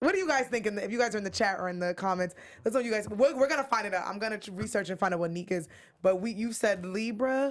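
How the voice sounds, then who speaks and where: Talking very fast in an animated tone, a woman with a fairly high voice uses ordinary pitch variation on a very clean recording with a silent background. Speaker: reality TV recap co-host. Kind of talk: channel promo spiel; casual chat.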